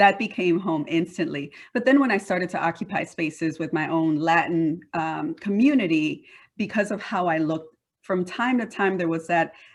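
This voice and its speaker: Against a quiet background, a woman with a slight Panamanian accent talks at a moderate pace in a fairly low voice with ordinary pitch variation. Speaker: diversity and workforce leader. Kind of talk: interview.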